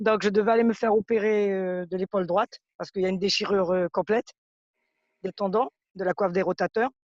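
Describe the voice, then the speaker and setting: At a very fast pace, a woman of medium pitch speaks with fairly even intonation in a dry, close sound with no echo. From French Guiana. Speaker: customer giving testimonial. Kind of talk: testimony.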